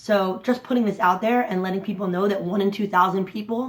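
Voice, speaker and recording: A woman speaks at a medium pitch in an animated tone. Her pitch variation is ordinary. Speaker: vlogger and intersex advocate. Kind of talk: personal vlog. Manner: fast.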